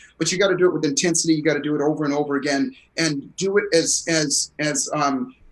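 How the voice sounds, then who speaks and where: A man talks at a fairly quick pace in an ordinary speaking voice. His pitch sits fairly high, with ordinary variation. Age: 60s. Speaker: performance coach and author. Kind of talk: interview.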